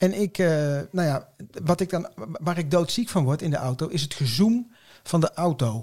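This is a plain, everyday voice. It moves at a moderate pace with lively intonation. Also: man, fairly high pitch for a man. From Nijmegen, Netherlands. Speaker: podcast co-host. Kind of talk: casual chat.

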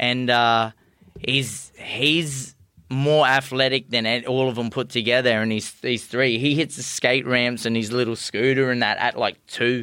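A man in an Australian accent, medium pitch, monotone and flat, at a fairly slow pace. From far north Queensland, Australia. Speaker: professional boxer. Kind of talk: interview.

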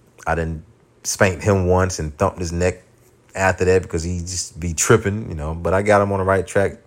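In a very clean recording with a silent background, a man speaks in a very deep, low pitch with monotone, flat intonation. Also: moderate pace. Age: 30s. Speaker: podcast host. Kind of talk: casual monologue. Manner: unrehearsed, filler-heavy.

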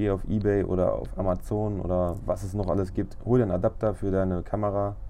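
A man with a fairly low pitch and a dark, mellow tone, speaking at a fairly quick pace with hardly any pauses, monotone, flat intonation and audible room echo. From Lower Saxony, Germany (Braunschweig). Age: 30s. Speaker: photographer podcaster. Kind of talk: casual monologue.

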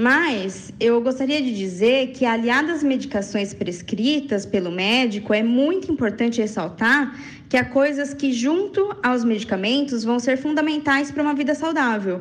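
Lively intonation and very even loudness at a moderate pace, with audible room echo and noticeable background noise. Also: woman, high pitch for a woman. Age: 20s. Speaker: radio contributor on bipolar disorder. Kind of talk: personal testimony and informative talk.

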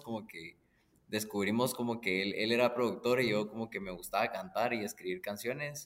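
Moderate pace and medium pitch in an unremarkable speaking voice from a man. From Guatemala. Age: 20s. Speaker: musician. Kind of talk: casual chat.

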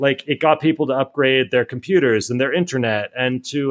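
A man with an American accent talks at a fairly quick pace in a fairly high pitch, with ordinary pitch variation and a plain, everyday voice. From US, Miami. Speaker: author and startup founder. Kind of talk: podcast interview.

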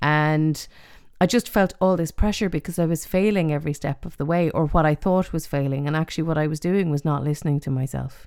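In an Irish accent, a woman speaks fairly quickly with ordinary pitch variation. Her voice is very deep and low. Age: 40s. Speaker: podcast host. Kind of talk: casual chat. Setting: remote recording.

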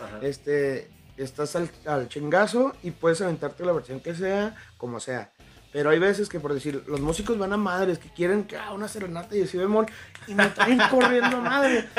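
Over music in the background, a man with a high pitch speaks with lively intonation and big swings in loudness. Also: moderate pace. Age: 20s. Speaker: mariachi singer. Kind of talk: casual chat.

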